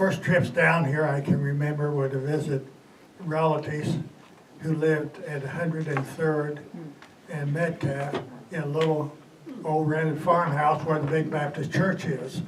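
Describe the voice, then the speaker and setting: With a US Midwestern accent, the speaker keeps a moderate pace and a monotone, flat intonation, amid noticeable background noise and audible room echo. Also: man, fairly high pitch for a man. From Kansas City area, Kansas. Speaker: former mayor. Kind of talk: historical talk to an audience. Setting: meeting with audience. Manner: halting, with many fillers.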